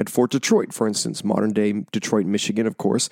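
A man's voice in a dry, close recording with no echo. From Canada. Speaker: podcast host, history. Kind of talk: podcast narration with ad reads.

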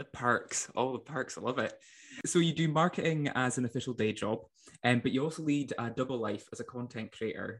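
A man with a Scottish accent, medium in pitch, fairly quick in pace, with ordinary pitch variation. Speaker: podcast host. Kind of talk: casual interview chat.

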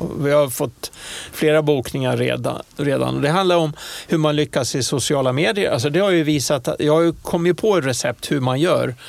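A fairly high-pitched man at a moderate pace, with ordinary pitch variation and very even loudness. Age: 60s. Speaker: airline pilot. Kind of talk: interview. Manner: halting.

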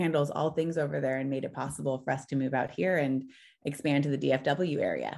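Against a quiet background, a woman speaks at a moderate pace. Her very deep, low voice holds a fairly even intonation. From Southern California (Orange County). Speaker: business owner. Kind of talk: interview.

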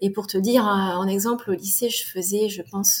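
The woman's voice is somewhat breathy and medium in pitch. Her intonation is monotone and flat. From France, Tours. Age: 40s. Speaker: amateur marathon runner. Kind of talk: interview storytelling.

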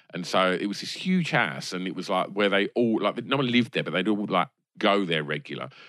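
A man speaks with an English accent. His tone is bright and sharp. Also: fairly low pitch for a man, fairly quick pace. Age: 40s. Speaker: film podcast guest. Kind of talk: casual chat. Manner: halting.

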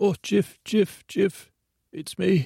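In a put-on character voice, this man pitches his speech high. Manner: urgent, panicked.

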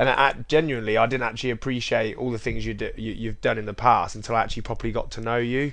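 Speaking in an English accent, a man talks at a very fast pace. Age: 20s. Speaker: gym owner and podcast host. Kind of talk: casual interview.

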